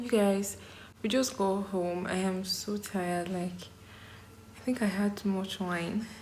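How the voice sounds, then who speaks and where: Music plays in the background and room echo is audible as a woman speaks at medium pitch and a fairly slow pace, with fairly even intonation and long, frequent pauses. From Nigeria. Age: 20s. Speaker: lifestyle vlogger. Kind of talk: casual vlog talk to camera.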